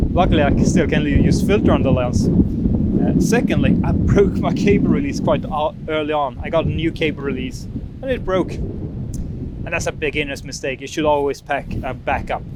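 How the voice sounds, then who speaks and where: A man speaks at a moderate pace with hardly any pauses. There is noticeable background noise and audible room echo. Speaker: landscape photographer vlogger. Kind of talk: casual vlog talk on location. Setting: outdoors on windy coast. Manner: loud, raised over wind; halting with fillers.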